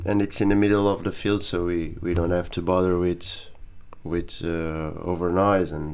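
Monotone and flat in intonation, a man speaks with a very deep, low pitch. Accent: Portuguese. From Portugal, Montijo. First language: Portuguese. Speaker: rock band drummer. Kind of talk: casual interview.

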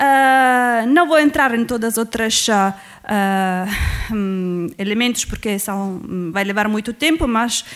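A woman with an Italian accent speaks at a very slow pace. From Italy. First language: Italian (speaking Portuguese). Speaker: social movements researcher. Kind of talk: academic presentation. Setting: university auditorium panel.

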